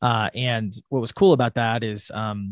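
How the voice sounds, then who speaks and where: Against a quiet background, a man with an American accent talks in a normal speaking voice at medium pitch. His pitch varies in an ordinary way, and the sound is dry and close with no echo. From US Midwest, Wisconsin. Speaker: startup CEO and co-founder. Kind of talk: podcast interview. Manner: many filler words.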